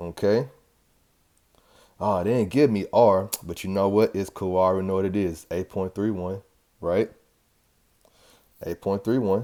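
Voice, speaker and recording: At a moderate pace, a man speaks in a fairly low pitch, his tone dark and mellow yet upbeat. Long, frequent pauses break his speech in a very clean recording with a silent background. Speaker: chemistry teacher. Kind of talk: tutorial. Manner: casual, upbeat.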